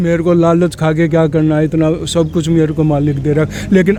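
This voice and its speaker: A man speaks in a high voice. Noticeable background noise runs behind him. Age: 70s. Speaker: local election candidate. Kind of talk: interview.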